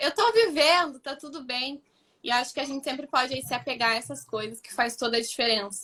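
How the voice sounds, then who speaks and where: Projecting her raised voice, a woman speaks at a high pitch with a bright, sharp tone. Her loudness swings widely, and her pitch varies in an ordinary way. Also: fairly quick pace. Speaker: student of the project. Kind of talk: live stream interview. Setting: live stream. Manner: fast.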